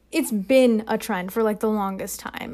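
A woman talks in an animated tone at a fairly high pitch and moderate pace, with ordinary pitch variation, on a very clean recording with a silent background. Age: 20s. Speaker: college student and podcast co-host. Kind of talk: casual chat. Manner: animated, filler-heavy speech.

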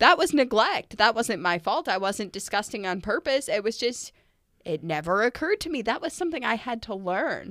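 With a plain, everyday voice, a woman speaks fairly quickly at a fairly high pitch with lively intonation, on a very clean recording with a silent background. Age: 20s. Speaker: podcast co-host and parent. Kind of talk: casual chat.

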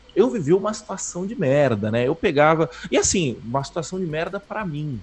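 A man's fairly high voice with very wide pitch swings at a moderate pace, music in the background. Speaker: podcast co-host, programmer. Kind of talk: casual chat. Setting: home studio, live stream.

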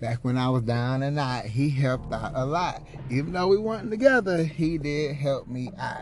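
An American-accented man at a moderate pace, ordinary pitch variation, and music in the background. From Houston, Texas. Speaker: podcast host. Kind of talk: personal storytelling monologue. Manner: casual, filler-heavy.

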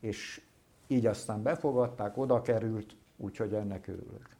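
Dark and mellow in tone, a man's voice is heard. He talks at a fairly slow pace. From Hungary, Solymár. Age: 70s. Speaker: decorative painter and gilder. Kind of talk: interview.

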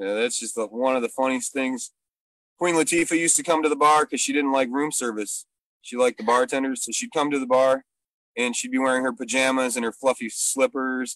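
With a dry, close sound and no echo, this is an ordinary speaking voice with fairly even intonation. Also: man, medium pitch for a man, fairly quick pace. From Michigan. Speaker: comedian and bartender. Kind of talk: casual chat. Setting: video call, outdoors.

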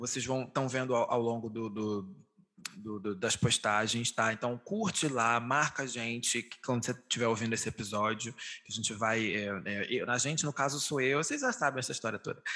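Bright and sharp in tone, a man speaks at medium pitch with ordinary pitch variation. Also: moderate pace. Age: 20s. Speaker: podcast host. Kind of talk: casual chat.

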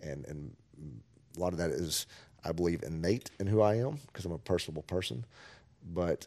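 This man's voice has vocal fry. He speaks at a fairly quick pace. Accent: Texan. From Texas Panhandle (Amarillo). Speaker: school superintendent. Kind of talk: interview.

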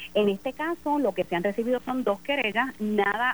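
A woman speaks with ordinary pitch variation. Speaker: election commission chair and judge. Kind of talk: phone interview. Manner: formal.

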